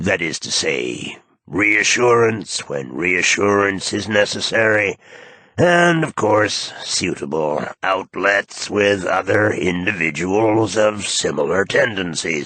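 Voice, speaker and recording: Putting on a robotic, raspy character voice, a man speaks fairly slowly at a fairly low pitch with lively intonation. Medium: read story. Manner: condescending, clinical.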